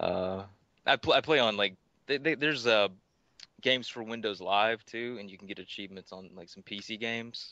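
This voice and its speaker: With a Tennessee accent, a man at medium pitch talks at a fairly quick pace in a bright, sharp tone, with ordinary pitch variation and big swings in loudness. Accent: Tennessee twang. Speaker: gaming record holder. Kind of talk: casual chat.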